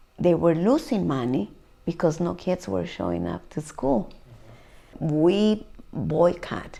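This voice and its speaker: A dark, mellow tone in a Spanish accent at a very slow pace. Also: woman. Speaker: community activist, parent. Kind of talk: oral history interview. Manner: mixes Spanish and English.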